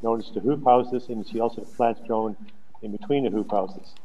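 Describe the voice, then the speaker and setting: The man's delivery is fairly quick. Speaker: council presenter. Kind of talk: presentation to council. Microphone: video call.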